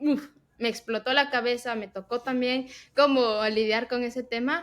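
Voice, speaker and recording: A woman's high-pitched voice with fairly even intonation at a fairly slow pace, on a very clean recording with a silent background. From Ecuador. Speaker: tech professional and podcast co-host. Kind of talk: casual interview chat.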